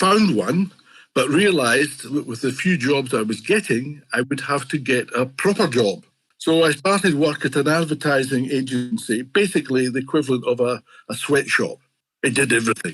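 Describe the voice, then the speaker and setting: In a very clean recording with a silent background, a man with a Scottish accent talks at a moderate pace with lively intonation. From Scotland. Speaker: fantasy illustrator. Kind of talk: interview. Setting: podcast.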